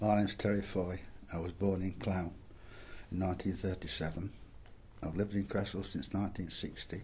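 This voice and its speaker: With an East Midlands accent, the speaker talks at a fairly quick pace with long, frequent pauses, in a somewhat breathy voice of dark, mellow tone and flat, monotone intonation. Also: man, very deep, low pitch for a man. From Derbyshire, England. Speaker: retired coal miner. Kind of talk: oral history interview.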